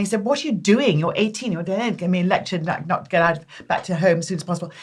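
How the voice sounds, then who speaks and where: A woman with a southern British accent speaks at a very fast pace in an animated tone. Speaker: makeup artist. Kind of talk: casual chat.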